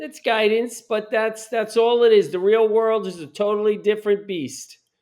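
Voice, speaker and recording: This man's high voice moves at a moderate pace, showing ordinary pitch variation and big swings in loudness. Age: 60s. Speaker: former cooking competition contestant. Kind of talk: casual chat. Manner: animated.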